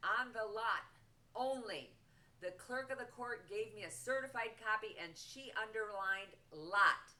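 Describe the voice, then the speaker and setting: With an American accent, a woman speaks at a fairly slow pace and a fairly high pitch. Her tone is bright and sharp, and her intonation fairly even. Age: 70s. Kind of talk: personal appeal to camera.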